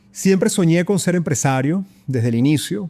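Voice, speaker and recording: Speaking at a moderate pace in a Venezuelan accent, a man has a dark, mellow tone and ordinary pitch variation. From Venezuela, Caracas. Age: 40s. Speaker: business executive and investor. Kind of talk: interview conversation. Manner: hesitant, many repetitions.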